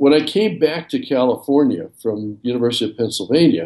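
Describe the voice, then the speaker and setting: At a moderate pace, a man talks with lively intonation and a dark, mellow tone. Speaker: architect and former firm CEO. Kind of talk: casual interview.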